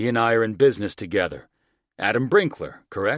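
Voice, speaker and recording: Growling in a put-on character voice, a man talks at a fairly quick pace with medium pitch and ordinary pitch variation. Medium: read story. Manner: smug, slick salesman patter.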